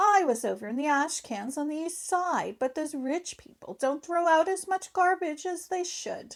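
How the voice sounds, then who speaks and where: A woman speaks in a put-on character voice at a moderate pace. Her pitch is extremely high. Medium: read story.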